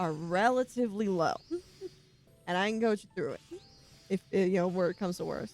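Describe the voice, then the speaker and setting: Music plays in the background while a woman speaks with an American accent. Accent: southern, stronger today. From Virginia, US. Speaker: streamer. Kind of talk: casual livestream chat while gaming. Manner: casual, conversational.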